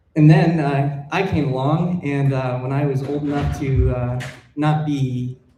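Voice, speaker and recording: The speech comes in an American accent at a fairly slow pace. Audible room echo is present. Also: man. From Colorado, US. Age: 20s. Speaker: wildlife filmmaker. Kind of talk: public talk. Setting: stage with audience. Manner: hesitant, many fillers.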